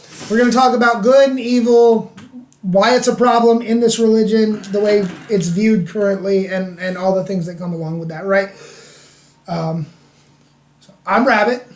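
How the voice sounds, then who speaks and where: Someone with an American accent speaks at a moderate pace, with ordinary pitch variation and long, frequent pauses. Loudness swings widely, and there is noticeable background noise. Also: man, high pitch for a man. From US South. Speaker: podcast co-host. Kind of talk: casual chat.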